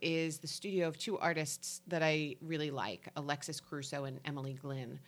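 A woman with a New Jersey accent speaks at a very deep, low pitch. The recording is very clean, with a silent background. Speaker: local community podcast co-host. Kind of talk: casual chat; reading an events calendar.

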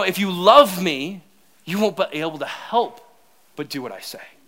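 A man speaks in a raised, projected voice. His tone is animated, bright and sharp. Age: 30s. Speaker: pastor. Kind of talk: sermon.

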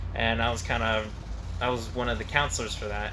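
Talking at a fairly quick pace, a man has an American accent. Noticeable background noise and audible room echo fill the recording. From Tucson, Arizona, US. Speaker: engineering student. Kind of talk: interview. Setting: research vertical farm.

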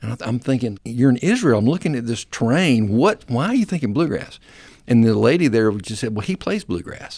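Fairly quick speech from a man at medium pitch with a Southern US accent and lively intonation, on a very clean recording with a silent background. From US South (South Alabama, North Florida). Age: 60s. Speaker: singer-songwriter and church worship minister. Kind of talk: casual interview.

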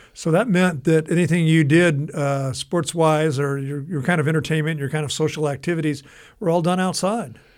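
An ordinary speaking voice from a man with an American accent, fairly high pitch, fairly even intonation and a moderate pace. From Southern California. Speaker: radio show host. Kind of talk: casual chat.

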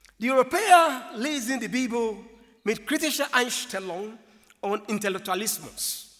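A man with a non-native accent speaks at a fairly slow pace. His pitch is extremely high, and his intonation is lively. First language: not German (speaking German). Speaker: preacher. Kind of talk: sermon.

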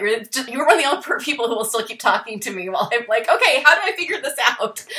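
A woman at a very fast pace with very wide pitch swings over noticeable background noise. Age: 40s. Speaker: podcast host. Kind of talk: casual chat; show outro. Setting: video call.

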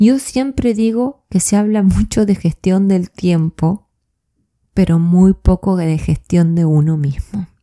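A woman with a warm, dark, mellow tone and medium pitch speaks at a fairly slow pace with ordinary pitch variation, in a dry, close sound with no echo. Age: 40s. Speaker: life coach podcaster. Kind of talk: solo reflective monologue. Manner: warm, conversational.

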